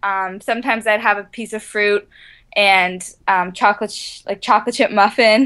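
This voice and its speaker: Against a quiet background, someone talks at a moderate pace in an unremarkable speaking voice. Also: woman. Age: 20s. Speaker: ultramarathon runner. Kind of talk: interview.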